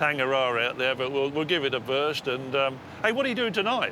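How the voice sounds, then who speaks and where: The background noise is noticeable. A man speaks at a fairly quick pace. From England. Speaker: local fisherman. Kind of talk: casual chat. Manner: passionate.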